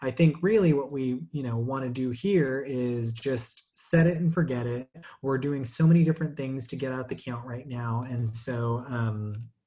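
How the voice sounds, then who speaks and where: Barely pausing, a man talks in a dark, mellow tone that is somewhat breathy. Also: medium pitch for a man, ordinary pitch variation, moderate pace. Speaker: webinar presenter. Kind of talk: tutorial. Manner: many fillers and hesitations.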